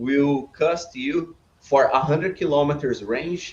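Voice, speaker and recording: A man with a Brazilian accent and a fairly high pitch. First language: Portuguese. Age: 30s. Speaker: business owner. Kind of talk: podcast interview.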